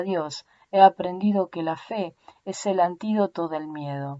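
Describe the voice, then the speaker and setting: In a dry, close sound with no echo, a woman with an Argentinian accent talks at a fairly slow pace in a medium pitch. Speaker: audiobook narrator.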